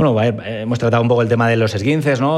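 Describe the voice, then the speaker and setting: In a room with audible echo, a man talks at medium pitch with ordinary pitch variation. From Spain, Valencia. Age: 30s. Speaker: foot and ankle surgeon. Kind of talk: interview.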